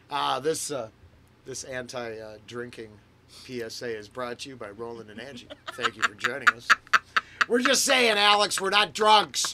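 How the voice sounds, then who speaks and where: A man speaks at a moderate pace with very wide pitch swings and long, frequent pauses over noticeable background noise. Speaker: podcast host. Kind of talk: casual podcast chat. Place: home room.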